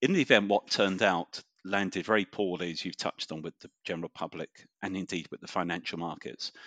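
Very deep and low, a man's voice moves at a very fast pace with fairly even intonation. The sound is dry and close with no echo, over a quiet background. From central London. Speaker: economist. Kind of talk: interview chat.

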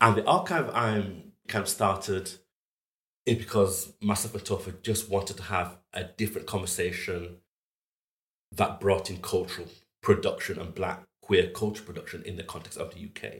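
A man with a Yorkshire accent and a fairly low pitch speaks at a moderate pace with fairly even intonation and big swings in loudness. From northern England, Huddersfield. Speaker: fine art photographer. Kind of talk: interview conversation.

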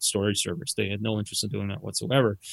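A man with a Canadian Maritime accent speaks at a fairly low pitch. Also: dry, close sound with no echo, very clean recording, silent background. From Nova Scotia, Canada (Dartmouth). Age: 50s. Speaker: company CEO. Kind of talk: interview.

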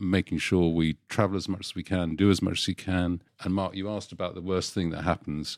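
In a very clean recording with a silent background and a dry, close sound with no echo, a man with a very deep, low pitch speaks at a fairly quick pace in a monotone, flat intonation. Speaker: spouse of a person with Parkinson's. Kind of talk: casual chat. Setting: pub.

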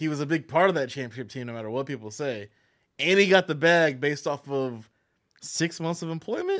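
In a normal speaking voice, a man talks at a fairly quick pace with a fairly high pitch and ordinary pitch variation. His loudness swings widely, and the very clean recording has a silent background. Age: 30s. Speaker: podcast guest. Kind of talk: casual chat.

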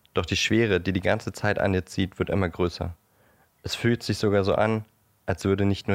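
At a fairly quick speed, a man with a very deep, low pitch speaks with fairly even intonation, on a very clean recording with a silent background. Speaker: podcast co-host. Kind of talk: storytelling narration; casual chat. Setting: co-host's apartment.

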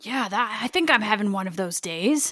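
A woman speaks in a put-on character voice at a moderate pace. The voice is raspy. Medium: actual play.

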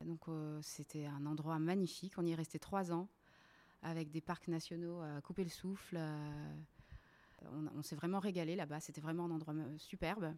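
A woman with a dark, mellow tone speaks at a moderate pace with long, frequent pauses. Her intonation is monotone and flat. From La Réunion. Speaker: website co-founder. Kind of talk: casual interview. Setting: at the host's home.

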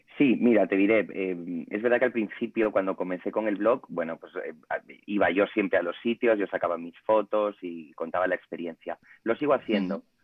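In an unremarkable speaking voice, a man with a fairly low pitch talks fairly quickly, with big swings in loudness and ordinary pitch variation. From Spain, Ponferrada (León). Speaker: food blogger. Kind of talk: casual chat.

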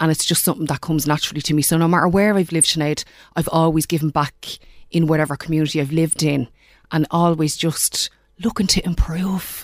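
A woman with a Dublin accent talks at a very fast pace in a very deep, low voice, her intonation fairly even, on a very clean recording with a silent background. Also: very even loudness. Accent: Dublin Irish. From Ireland, Dublin. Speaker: life coach. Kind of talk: interview.

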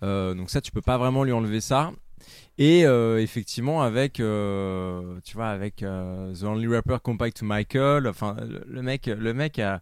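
The man's pitch moves in an ordinary way. He talks at a very slow pace. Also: medium pitch for a man. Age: 30s. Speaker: podcaster, music anecdote show. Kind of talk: casual chat. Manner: halting.

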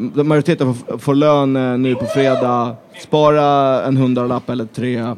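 A man's medium-pitched, monotone, flat voice at a fairly slow pace, over noticeable background noise. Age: 20s. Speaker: football supporter group organizer. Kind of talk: casual chat.

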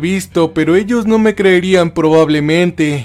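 With music in the background, a man speaks fairly slowly at a high pitch. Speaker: creepypasta narrator. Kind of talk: first-person horror story narration, creepypasta, tense and hushed, building dread. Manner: tense and frightened delivery, voice rising then trembling in panic scenes.

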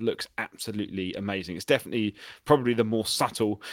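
The recording of a man with a British accent has a dry, close sound with no echo. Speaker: podcast co-host. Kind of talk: casual chat.

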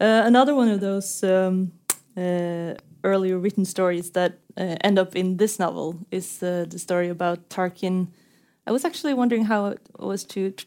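At a moderate pace, a speaker with a Norwegian accent uses a dark, mellow tone and fairly even intonation. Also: woman, medium pitch for a woman. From Norway. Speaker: author and interviewer. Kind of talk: onstage literary conversation. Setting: stage with audience.

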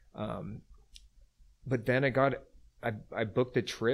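A man's fairly even intonation with a Californian accent, on a very clean recording with a silent background. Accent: California English. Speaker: travel company founder. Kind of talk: casual interview chat.

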